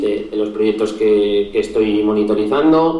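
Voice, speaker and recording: Audible room echo and noticeable background noise around fairly slow speech with ordinary pitch variation. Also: man. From Spain, Zaragoza (Aragon). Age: 20s. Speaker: SEO specialist and podcaster. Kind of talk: interview. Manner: halting, frequent repetitions.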